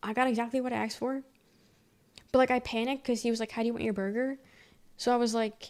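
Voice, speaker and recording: A soft-spoken woman with an American accent, a fairly high pitch, monotone, flat intonation, a very fast pace and long, frequent pauses, on a very clean recording with a silent background. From US, from another state. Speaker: streamer. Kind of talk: casual chat. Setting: live stream. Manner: fast at times.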